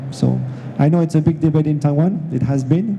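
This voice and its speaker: A man with a French accent at a fairly quick pace, over noticeable background noise. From France. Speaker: industry executive, panelist. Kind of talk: panel discussion. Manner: hesitant, many fillers.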